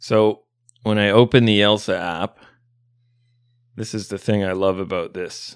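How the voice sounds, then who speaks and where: A man with a North American accent speaks at a fairly slow pace, in a very clean recording with a silent background and a dry, close sound with no echo. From Canada. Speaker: English teacher. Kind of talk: casual chat; sales pitch.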